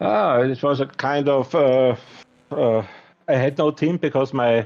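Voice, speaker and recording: A man with a non-native accent, medium pitch and fairly even intonation. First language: not English. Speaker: sim racing champion driver. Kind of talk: post-race interview. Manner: halting.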